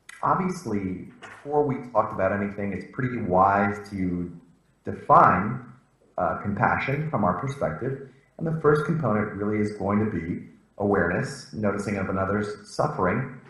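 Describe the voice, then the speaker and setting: A man speaks with fairly low pitch and lively intonation at a moderate pace. Audible room echo surrounds his voice. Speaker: professor. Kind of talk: lecture. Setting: video call.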